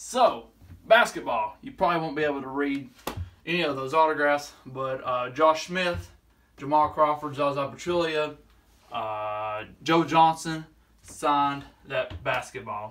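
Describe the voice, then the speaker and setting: The pace is fairly slow. A man speaks with ordinary pitch variation. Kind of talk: casual vlog chat. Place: home room. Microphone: phone near.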